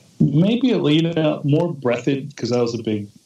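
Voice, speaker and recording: With an American accent, the speaker talks at a moderate pace over noticeable background noise. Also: man. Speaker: comics artist. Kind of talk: casual chat.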